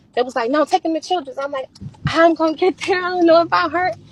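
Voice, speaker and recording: A woman speaks with noticeable background noise. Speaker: livestreamer and mother of seven. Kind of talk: heated interview. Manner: fast.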